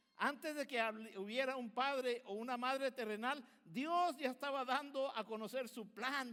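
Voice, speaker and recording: A man's raised, projected voice at an extremely high pitch, bright and sharp in tone, fairly slow, with hardly any pauses and ordinary pitch variation. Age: 60s. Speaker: pastor. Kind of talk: sermon.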